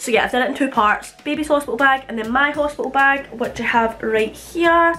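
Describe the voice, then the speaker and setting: Over music in the background, a woman with a Scottish accent talks at a fairly quick pace in a raised, projected voice. Her pitch is high, with ordinary variation. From Scotland. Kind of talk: casual talk to camera. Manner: chatty, informal.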